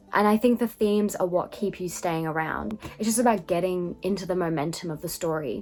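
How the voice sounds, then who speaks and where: A woman with an Australian accent talks at a fairly quick pace with hardly any pauses. Her pitch is medium, with ordinary variation. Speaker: book reviewer. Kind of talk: casual book review. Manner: conversational, many fillers.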